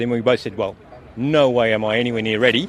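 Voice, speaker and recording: The man rattles along at a very fast pace with ordinary pitch variation, noticeable background noise behind him. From Australia. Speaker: sidecar racer. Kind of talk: interview. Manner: halting, with fillers and repeats.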